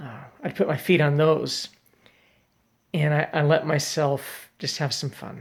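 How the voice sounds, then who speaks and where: A man with an American accent speaks at a fairly slow pace, his voice fairly high-pitched and somewhat breathy, with fairly even intonation. Long, frequent pauses and big swings in loudness mark the very clean recording, with a silent background. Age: 60s. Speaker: father making video messages for his family. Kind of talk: casual personal video monologue. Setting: at home, late evening. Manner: hesitant, many fillers and restarts.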